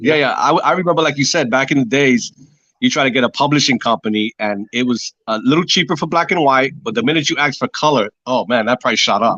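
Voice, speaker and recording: With an American accent, a man talks at a very fast pace in a fairly high pitch, with ordinary pitch variation and very even loudness. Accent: slight New York Spanish. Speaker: artist. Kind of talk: casual chat. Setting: phone call. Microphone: phone delay.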